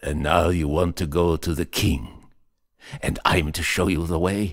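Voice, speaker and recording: At a moderate pace, a man puts on a raspy character voice pitched very deep and low. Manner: soft, knowing.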